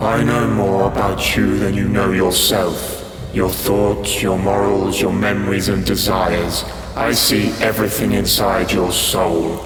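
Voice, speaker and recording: A man puts on a character voice at a very deep, low pitch and a fairly slow pace, with slight echo and loud background noise. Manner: menacing, slow.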